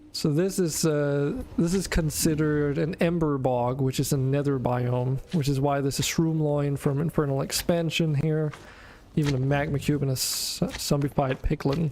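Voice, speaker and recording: This man talks at a moderate pace with fairly even intonation. His voice sits fairly high in pitch and stays very even in loudness. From Denmark. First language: Danish. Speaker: video game streamer. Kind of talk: casual gameplay stream chat.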